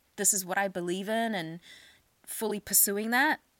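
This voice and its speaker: The speaker has a New Zealand accent. The recording is very clean, with a silent background. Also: woman. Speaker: podcast host. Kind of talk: casual chat.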